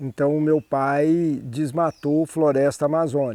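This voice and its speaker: The man talks at a very slow pace. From Brazil. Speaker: cattle rancher. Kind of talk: interview.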